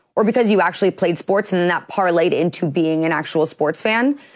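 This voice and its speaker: A woman with an American accent speaks in an unremarkable speaking voice at medium pitch, fairly quick and with lively intonation, on a very clean recording with a silent background. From US Midwest. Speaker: sports show host. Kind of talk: casual sports talk.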